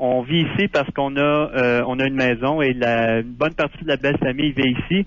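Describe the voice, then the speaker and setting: Over noticeable background noise, a man at medium pitch talks with fairly even intonation, very even loudness and hardly any pauses. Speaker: Quebec expat, libertarian writer. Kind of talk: radio phone interview.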